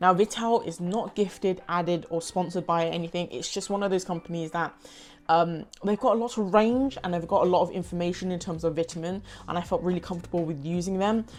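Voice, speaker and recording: A woman with a London accent, fairly low in pitch, talking at a very fast pace. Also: ordinary pitch variation. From London, UK. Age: 20s. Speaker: pre-qualified lawyer and vlogger. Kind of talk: casual talk to camera.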